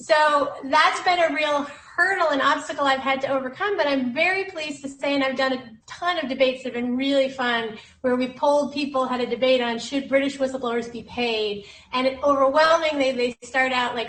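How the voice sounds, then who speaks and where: Someone with an American accent speaks at a fairly quick pace with ordinary pitch variation, with audible room echo and noticeable background noise. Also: woman, high pitch for a woman. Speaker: whistleblower lawyer. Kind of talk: panel discussion.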